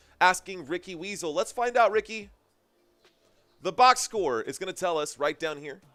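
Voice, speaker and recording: Over music in the background, a man speaks at high pitch with lively intonation. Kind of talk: sports commentary on a livestream.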